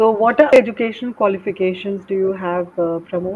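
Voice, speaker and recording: Noticeable background noise accompanies a woman talking at a medium pitch. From India, Delhi. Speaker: English teacher. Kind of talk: English practice conversation.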